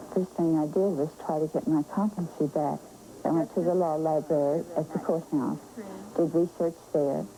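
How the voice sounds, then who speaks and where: Against noticeable background noise, a woman with a very deep, low pitch talks at a moderate pace, keeping her intonation fairly even and her loudness very even. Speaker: interviewee, elderly woman under guardianship. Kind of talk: TV news interview.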